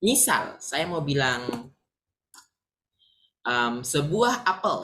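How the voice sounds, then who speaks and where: A man's bright, sharp voice at a very slow pace, with very wide pitch swings. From Sulawesi, Indonesia. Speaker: English teacher. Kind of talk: online English lesson.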